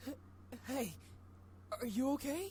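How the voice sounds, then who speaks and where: A female-sounding put-on character voice, high in pitch and with the act carried through, plays over clear background noise. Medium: game stream. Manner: stammering, hesitant.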